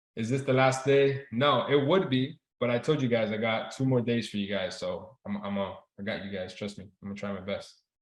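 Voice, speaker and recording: With a Spanish accent, a man speaks at a medium pitch and a fairly quick pace. His tone is animated, and his pitch varies in an ordinary way. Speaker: trading instructor. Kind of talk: live online class. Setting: video call. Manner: casual, animated.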